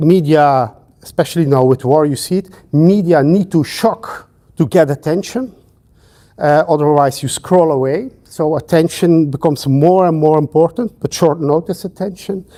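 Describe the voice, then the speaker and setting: A dark, mellow tone in a Flemish accent with ordinary pitch variation. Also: man, fairly high pitch for a man, moderate pace. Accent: Flemish Dutch accent in English. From Belgium (Flanders). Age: 50s. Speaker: sociology professor. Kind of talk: lecture. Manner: hesitant with frequent fillers.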